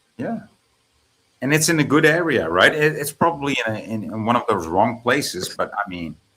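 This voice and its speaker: At a moderate pace, a man with a Dutch accent speaks at a medium pitch in a bright, sharp tone with vocal fry and very wide pitch swings. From Netherlands. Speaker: guest on stream. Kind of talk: casual chat.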